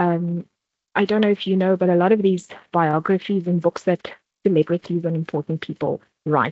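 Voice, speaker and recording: A woman with a South African accent speaks at a moderate pace and medium pitch. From South Africa, Vaal Triangle (Free State). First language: not English (South African language). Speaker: workshop presenter. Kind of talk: workshop presentation.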